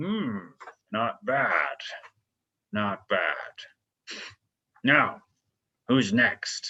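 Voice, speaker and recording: Using a put-on character voice at a medium pitch, a man talks at a very slow pace with long, frequent pauses. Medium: actual play.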